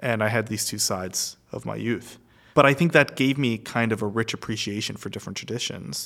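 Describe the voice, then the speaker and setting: Vocal fry colors a man's medium-pitched voice with ordinary pitch variation. He talks at a fairly quick pace in a very clean recording with a silent background. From Egypt. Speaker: arts festival director. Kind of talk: casual chat. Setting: festival hall lobby.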